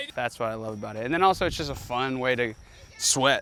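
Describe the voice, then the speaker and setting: Very fast speech over noticeable background noise. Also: man. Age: young. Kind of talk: casual chat. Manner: animated.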